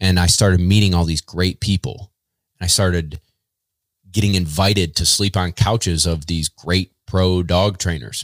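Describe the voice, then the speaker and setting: Very deep and low, a man's voice with an American accent carries fairly even intonation at a moderate pace, in a dry, close, echo-free sound on a very clean recording with a silent background. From central New York. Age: 30s. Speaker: professional dog trainer and kennel owner. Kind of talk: casual interview.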